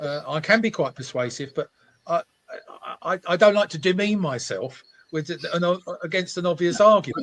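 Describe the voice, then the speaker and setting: With a London accent, a man talks at a moderate pace in a high pitch, using ordinary pitch variation and long, frequent pauses, and the sound is dry and close with no echo. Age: 70s. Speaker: motoring campaign founder. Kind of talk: interview. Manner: halting, many repetitions.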